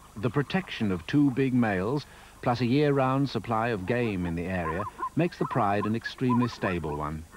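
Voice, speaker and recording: Man at a medium pitch with very wide pitch swings, moderate pace, and noticeable background noise. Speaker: narrator. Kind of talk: nature documentary narration.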